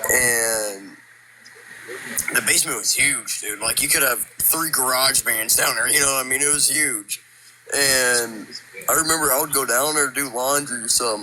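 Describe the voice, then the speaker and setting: Noticeable background noise sits behind a man's voice. He holds a medium pitch, fairly even intonation and a moderate pace. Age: 18. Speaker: caller sharing a ghost story. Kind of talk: storytelling. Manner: casual, halting with fillers.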